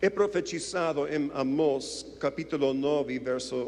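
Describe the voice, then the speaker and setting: A man with a non-native accent and a fairly high pitch speaks at a very slow pace, with audible room echo. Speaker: visiting preacher. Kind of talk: sermon. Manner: halting; calm, not dramatic.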